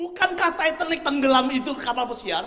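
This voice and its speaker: Animated, raised and projected, a man's voice at an extremely high pitch. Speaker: motivational speaker. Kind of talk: motivational seminar talk. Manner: animated, rhetorical.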